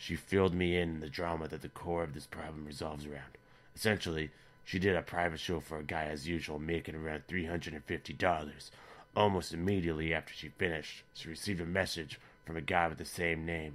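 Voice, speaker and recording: In a put-on character voice, a man talks at a very fast pace, raspy and very deep and low in pitch, with monotone, flat intonation. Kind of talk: online story reading. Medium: read story. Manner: dry, sardonic.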